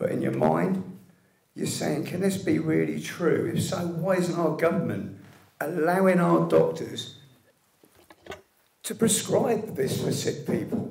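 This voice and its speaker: Pausing long and often, a man with a British accent speaks at a fairly slow pace. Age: 60s. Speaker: liver cancer patient, medical cannabis activist. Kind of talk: public speech at an event. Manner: reading from a script.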